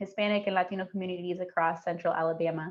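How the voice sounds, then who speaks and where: At a fairly quick pace, a woman speaks in a medium pitch. She has an ordinary speaking voice. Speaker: community outreach coordinator at health center. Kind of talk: podcast interview.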